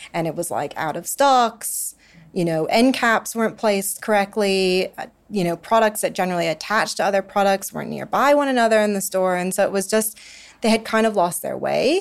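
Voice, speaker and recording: A woman speaks in a normal speaking voice at a medium pitch, moving at a fairly quick pace. Her pitch varies in an ordinary way, and the recording is very clean with a silent background. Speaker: investment analyst. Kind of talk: interview discussing a company.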